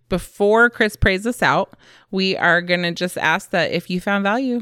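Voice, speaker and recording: A woman's animated, upbeat voice, bright and sharp in tone, medium in pitch, at a moderate pace with ordinary pitch variation, on a very clean recording over a silent background. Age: 40s. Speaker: podcast host, homeschooling mother. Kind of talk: casual chat.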